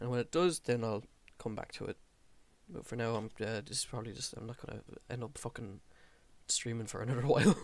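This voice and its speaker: A man's medium-pitched voice in an Irish accent, very fast in pace yet with long, frequent pauses, and ordinary pitch variation. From Ireland. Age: 20s. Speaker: gaming streamer. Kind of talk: casual gameplay commentary.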